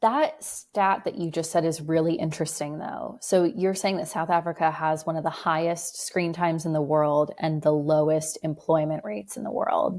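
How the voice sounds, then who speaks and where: A woman with an American accent speaks at a moderate pace in a plain, everyday voice, fairly low in pitch with ordinary pitch variation. She leaves hardly any pauses, and the recording is very clean with a silent background. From California, US. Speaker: writer. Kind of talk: casual chat.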